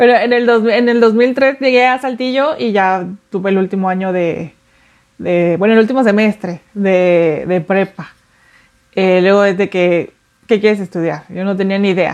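A woman speaks at a fairly slow pace in an ordinary speaking voice. Her pitch sits in the medium range, with ordinary pitch variation. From Mexico City. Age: 30s. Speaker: artist. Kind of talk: interview testimony.

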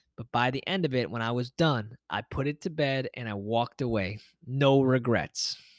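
A man's plain, everyday voice, medium in pitch, with ordinary pitch variation and a moderate pace, in a very clean recording with a silent background and a dry, close sound with no echo. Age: 30s. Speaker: podcast host and yoga teacher. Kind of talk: motivational solo podcast monologue. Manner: casual, conversational with fillers.

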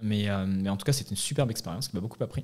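The speech races along at a very fast pace, its pitch varying in an ordinary way. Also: man. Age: 20s. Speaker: startup founder. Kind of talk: interview. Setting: studio. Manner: halting.

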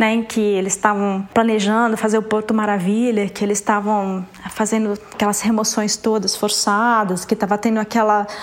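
With noticeable background noise behind her, a woman speaks at a moderate pace and fairly high pitch, her intonation monotone and flat and her loudness very even. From São Paulo state, Brazil (Ribeirão Preto). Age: 50. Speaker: visual artist. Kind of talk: interview.

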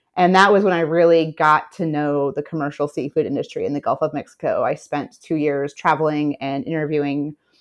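Over a quiet background, a woman with a plain, everyday voice speaks at a moderate pace in a fairly low pitch. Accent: American. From US South, Memphis, Tennessee. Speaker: fisheries policy director. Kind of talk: interview.

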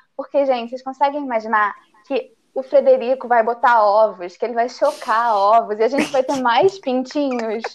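The speaker keeps a moderate pace. Pitch moves in an ordinary way. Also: woman, high pitch for a woman. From Brazil, interior of Paraná. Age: 20s. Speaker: embroidery teacher. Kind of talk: casual chat.

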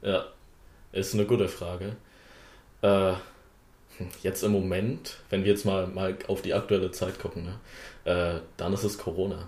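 A man speaks fairly slowly, leaving long, frequent pauses. His fairly low voice is somewhat breathy and flat, with monotone intonation. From Wittenberg, Saxony-Anhalt, Germany. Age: young. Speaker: politician, parliamentary candidate. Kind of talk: casual chat.

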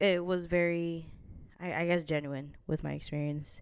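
Here is a woman with an American accent and a fairly low pitch. She talks at a fairly slow pace. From New Jersey. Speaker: podcast host. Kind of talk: casual solo vlog-style chat. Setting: home apartment, video recording. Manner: hesitant, many fillers and laughs.

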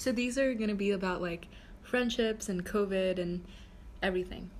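This woman's voice is somewhat breathy. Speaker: podcast host, university student. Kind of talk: casual chat. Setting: call.

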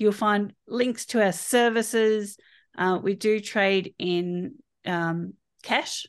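In an Australian accent, a woman talks at a medium pitch with fairly even intonation against a quiet background. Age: 50s. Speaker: holistic health practitioner. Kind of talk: interview.

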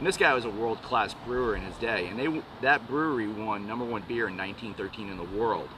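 This man has a plain, everyday voice at a medium pitch with ordinary pitch variation. He talks at a fairly quick pace with hardly any pauses. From New York. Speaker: brewery co-founder. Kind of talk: casual chat. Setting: outdoors.

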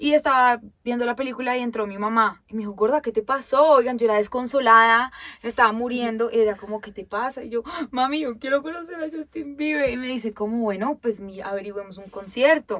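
A woman speaks in an animated tone at a fairly quick pace, her high voice showing ordinary pitch variation and big swings in loudness. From Colombia, Bogotá and Girardot. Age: 20s. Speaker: podcast co-host. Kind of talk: casual chat.

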